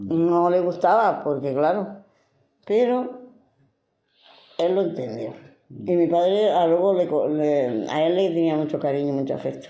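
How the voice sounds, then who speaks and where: A woman's fairly low, dark, mellow voice, fairly slow, with long, frequent pauses and lively intonation. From Granada, Spain. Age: 70s. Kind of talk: interview answer.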